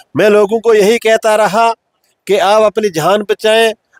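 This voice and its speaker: A man's high-pitched voice with fairly even intonation, dry and close with no echo. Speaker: former village head. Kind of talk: interview testimony.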